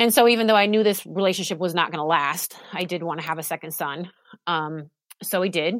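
With an American accent, a woman has an unremarkable speaking voice, fairly low pitch and ordinary pitch variation. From Alaska and Oregon, US. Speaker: nurse and survivor advocate. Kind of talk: testimony.

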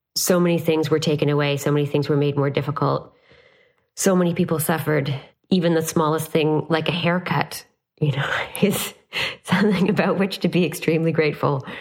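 A woman with a Canadian accent talks at a fairly quick pace in a very deep, low pitch, her intonation fairly even and her loudness very even. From Canada. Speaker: business school professor and podcast host. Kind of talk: interview.

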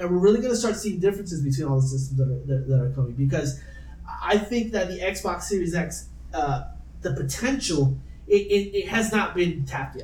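Noticeable background noise runs beneath a man speaking at a fairly quick pace. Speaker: podcast host. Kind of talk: casual chat. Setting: home recording, poor mic pickup.

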